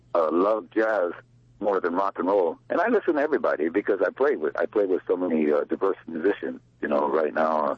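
An American-accented man with a low pitch and a slightly husky edge talks at a fairly quick pace with lively intonation and few pauses, the sound dry and close with no echo.

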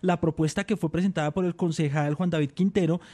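With a dark, mellow tone, a man talks with ordinary pitch variation.

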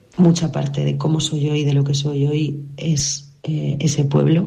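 Slow-ish and dark, mellow in tone, the voice carries vocal fry and little pitch movement amid strong room echo. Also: woman, low pitch for a woman.

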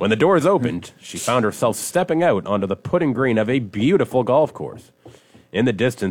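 Lively intonation while reading aloud in a natural voice

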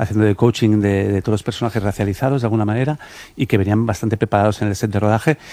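A man's fairly low, dark, mellow voice, fast and fairly even in intonation

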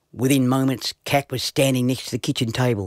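The clip carries an unforced reading voice. It is delivered without strain.

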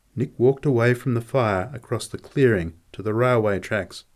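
What we hear is an unforced reading voice throughout.

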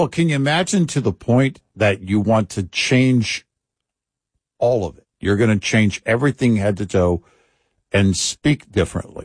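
A man with an American accent speaks at a fairly slow pace, his pitch fairly low. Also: lively intonation. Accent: American, only an occasional Texas drawl.

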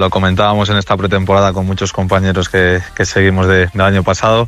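A man speaks at a low pitch with a fairly bright tone and little pitch movement.

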